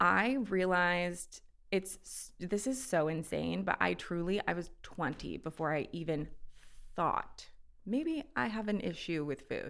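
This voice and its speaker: A woman's fairly low voice with vocal fry and lively intonation at a fairly slow pace, on a very clean recording with a silent background. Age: 30s. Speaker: actress and model. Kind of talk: casual chat.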